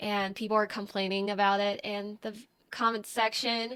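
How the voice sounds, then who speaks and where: In a very clean recording with a silent background, a woman with a Chinese accent speaks at a fairly high pitch, her tone bright and sharp and her intonation monotone and flat. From Taiwan. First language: Mandarin Chinese. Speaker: content creator. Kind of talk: casual Q&A vlog. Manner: slow.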